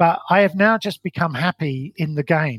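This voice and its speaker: Recorded dry and close with no echo, a man speaks at a moderate pace in a somewhat breathy voice with ordinary pitch variation. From London, England. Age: 50s. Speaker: failed business owner. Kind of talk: interview storytelling.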